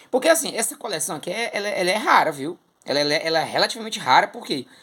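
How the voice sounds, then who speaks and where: Very fast and animated, a man uses a raised, projected voice with a bright, sharp tone, high pitch and lively intonation. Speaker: comic collector YouTuber, theatre artist. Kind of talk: casual collection show-and-tell.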